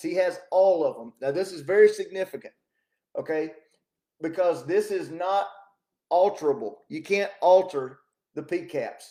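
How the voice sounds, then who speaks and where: A loud male voice at a moderate pace. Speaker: talk show host. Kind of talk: casual political commentary monologue. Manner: animated.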